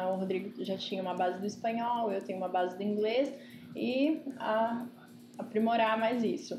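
A woman with a fairly high voice and ordinary pitch variation is heard with audible room echo and noticeable background noise. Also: moderate pace. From Ribeirão Preto, São Paulo state, Brazil. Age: 20s. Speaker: economist turned traveler, digital nomad. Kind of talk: casual interview chat.

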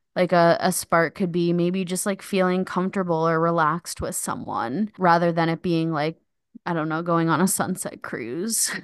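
Against a quiet background, a woman with fairly low pitch speaks in an unremarkable speaking voice with fairly even intonation at a moderate pace. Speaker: podcast host. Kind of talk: casual comedic chat.

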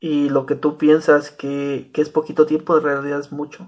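A man with a Mexican accent, fairly high in pitch and moderate in pace, on a very clean recording with a silent background. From Mexico, small rural town. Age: 30s. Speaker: podcaster. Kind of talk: casual monologue.

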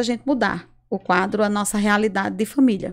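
The recording is very clean with a silent background. A woman speaks at a medium pitch with a northeastern Brazilian accent. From Brazil, Rio Grande do Norte. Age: 40s. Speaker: public health worker and entrepreneur. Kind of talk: casual interview. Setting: studio.

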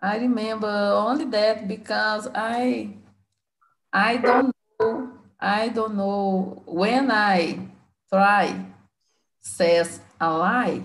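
Her Brazilian accent comes through as a woman speaks at a very slow pace with ordinary pitch variation. Long, frequent pauses break up her speech. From Belo Horizonte, Brazil. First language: Portuguese. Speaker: English learner. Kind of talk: casual conversation practice. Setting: video call. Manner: halting, mixes Portuguese words.

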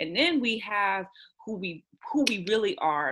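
A woman with an American accent and an unremarkable speaking voice uses lively intonation. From Houston, Texas. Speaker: author. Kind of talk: casual chat.

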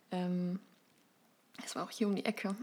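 A woman of medium pitch speaks in a monotone with flat intonation. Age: 20s. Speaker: writer and editor with anxiety disorder. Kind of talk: interview, personal testimony.

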